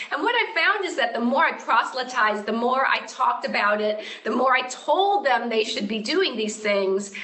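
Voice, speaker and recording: A woman talks at a moderate pace with lively intonation, high pitch and hardly any pauses. Noticeable background noise and audible room echo come through. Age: 60s. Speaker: yoga and fitness educator. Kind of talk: interview.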